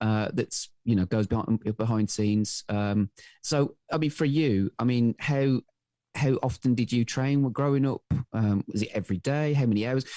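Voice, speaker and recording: Against a quiet background, a man with a dark, mellow tone and medium pitch speaks at a moderate pace with ordinary pitch variation and very even loudness, the sound dry and close with no echo. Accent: Welsh. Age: 40s. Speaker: podcast co-host. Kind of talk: interview. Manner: halting, many fillers.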